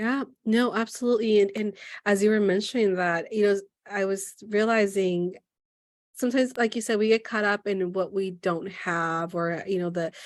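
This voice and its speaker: In an unremarkable speaking voice, a woman with an American accent talks at medium pitch and a moderate pace with fairly even intonation against a quiet background. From United States. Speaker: podcast host and therapist. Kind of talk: podcast interview.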